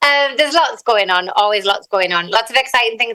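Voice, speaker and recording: A woman with a Teesside accent, medium in pitch, her tone bright and sharp. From northern England, Teesside. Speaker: singer-songwriter. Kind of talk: interview.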